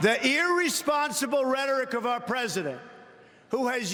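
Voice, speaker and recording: A man with an extremely high pitch and a New York accent, his voice raised and projected. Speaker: politician. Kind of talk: political convention speech. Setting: large convention hall.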